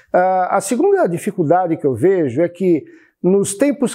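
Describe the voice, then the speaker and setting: Intonation is lively, and the tone is dark and mellow. The delivery is fairly slow. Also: man, quiet background. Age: 70s. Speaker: retired accountant, seminary finance administrator. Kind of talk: interview. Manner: halting, with fillers and repetitions.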